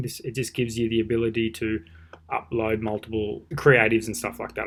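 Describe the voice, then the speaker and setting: Here a man talks at a fairly quick pace. His pitch is medium. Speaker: online marketing teacher; online marketing tutor. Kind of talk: screen-recorded tutorial. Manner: fast; casual. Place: home room. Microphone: webcam.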